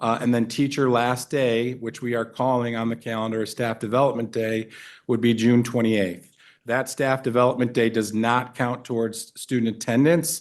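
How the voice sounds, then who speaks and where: The background is quiet as a man talks at a moderate pace. His pitch is medium and his intonation monotone and flat. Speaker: school district administrator. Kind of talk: board meeting presentation. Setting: board meeting. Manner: halting, many fillers.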